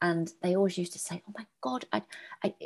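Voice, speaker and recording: A woman's voice is somewhat breathy. She speaks fairly quickly, her intonation lively. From English Midlands, Birmingham. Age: 40s. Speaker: complementary therapist and adoptee. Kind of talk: personal testimony in interview.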